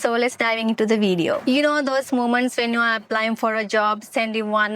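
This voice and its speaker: A woman's fairly high voice at a fairly quick pace. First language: not English. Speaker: motivational podcaster. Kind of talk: casual monologue. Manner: halting.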